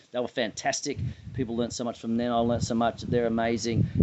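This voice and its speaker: Speaking at a medium pitch, a man talks in an Australian accent. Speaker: sports association president and interviewer. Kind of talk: interview. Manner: animated.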